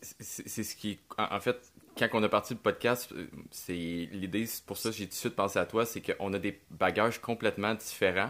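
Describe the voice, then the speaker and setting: In a very clean recording with a silent background, a man with a fairly low pitch and a normal speaking voice talks at a moderate pace with fairly even intonation. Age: 30s. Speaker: podcast host, adventure filmmaker. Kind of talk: casual chat.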